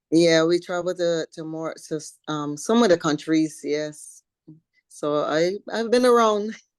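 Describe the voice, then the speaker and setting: A woman with a slight Caribbean accent, fairly low in pitch, at a fairly slow pace with ordinary pitch variation, over a quiet background. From Barbados. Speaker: professional bodybuilder. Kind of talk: interview. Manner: halting, many fillers.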